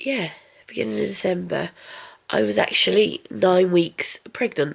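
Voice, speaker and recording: A woman in an English accent at a fairly slow pace. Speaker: family vlogger. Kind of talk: casual vlog talk to camera. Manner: halting.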